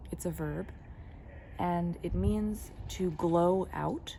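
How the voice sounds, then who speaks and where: A woman talks very slowly, her voice carrying audible room echo. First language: German and English (bilingual). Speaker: spiritual teacher. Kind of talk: spiritual talk. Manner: reflective, with fillers.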